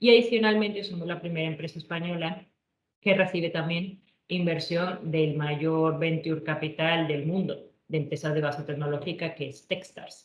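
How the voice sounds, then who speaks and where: A woman speaks at a moderate pace in a somewhat breathy, fairly low voice with fairly even intonation. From Colombia, Bogotá. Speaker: engineer and tech entrepreneur. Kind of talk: presentation talk. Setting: online virtual event.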